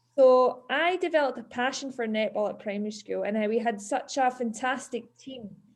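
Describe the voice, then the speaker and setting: A woman with a Scottish accent speaks at a moderate pace with hardly any pauses, her high pitch showing ordinary pitch variation. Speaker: PE teacher. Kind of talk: talk to schoolchildren.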